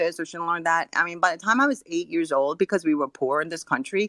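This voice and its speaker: Very fast speech from a woman with a slight Californian accent, in a very clean recording with a silent background and a dry, close sound with no echo. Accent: slight California twang in English. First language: not English, learned English from grandparents. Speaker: board member of a women's communications group. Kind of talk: casual panel chat. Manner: halting with many fillers.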